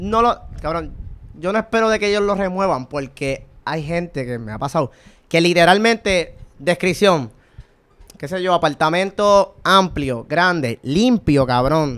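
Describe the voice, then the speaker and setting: A man with a Puerto Rican accent, high-pitched, lively in intonation, at a fairly slow pace. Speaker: podcast co-host. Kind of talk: casual chat. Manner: animated.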